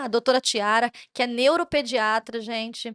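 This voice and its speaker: Over a quiet background, a woman talks at a moderate pace with fairly even intonation, the sound dry and close with no echo. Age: 30s. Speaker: podcast host, parent advocate. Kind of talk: interview podcast.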